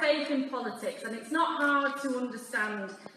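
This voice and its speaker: With fairly even intonation and a moderate pace, a woman speaks amid audible room echo and light background noise. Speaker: politician at rally. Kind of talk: political speech.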